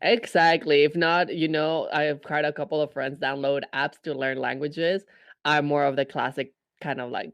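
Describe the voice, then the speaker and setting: A man with a Spanish accent speaks at a moderate pace and a fairly high pitch, with fairly even intonation. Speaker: podcast co-host. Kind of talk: casual chat.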